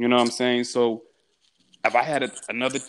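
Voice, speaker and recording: Talking very fast, a man speaks with an American accent. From Houston, Texas. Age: 20s. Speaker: aspiring actor. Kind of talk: casual chat.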